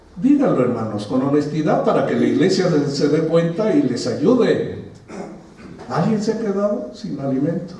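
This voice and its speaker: A man talks at a moderate pace with a high pitch and very wide pitch swings. Noticeable background noise and audible room echo are present. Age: 60s. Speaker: pastor. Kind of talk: sermon. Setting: church. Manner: conversational, engaging congregation.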